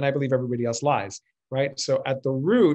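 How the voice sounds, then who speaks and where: The background is quiet as a man talks at a fairly quick pace with ordinary pitch variation. His voice is somewhat breathy. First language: Spanish. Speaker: communication coach and former actor. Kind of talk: online interview conversation. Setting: video call. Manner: animated. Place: home room. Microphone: video call.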